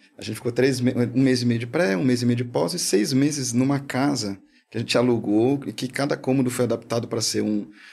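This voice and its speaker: Pitch shifts in an ordinary way. The delivery is fairly quick. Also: man, medium pitch for a man. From São Paulo, Brazil. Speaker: filmmaker and animation studio partner. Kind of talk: casual chat.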